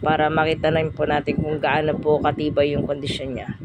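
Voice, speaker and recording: Over noticeable background noise, a woman speaks at a very deep, low pitch. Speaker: travel vlogger. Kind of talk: casual vlog narration. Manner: hesitant, filler-heavy.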